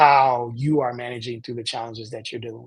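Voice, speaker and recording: Somewhat breathy, a man speaks with an American accent and fairly even intonation. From Indiana, US Midwest. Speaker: youth and parent empowerment coach, counselor. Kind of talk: interview conversation. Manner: halting, frequent false starts.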